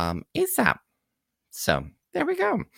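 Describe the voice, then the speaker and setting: A man with a Canadian accent and a bright, sharp tone is recorded dry and close with no echo, on a very clean recording with a silent background. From Kingston, Ontario, Canada. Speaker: community radio host and drag performer. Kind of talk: radio DJ patter, campy live show host chat with pet names. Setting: live radio studio broadcast. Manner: animated, camp, playful and flirtatious; chatty and rambling, laughs often, filler words.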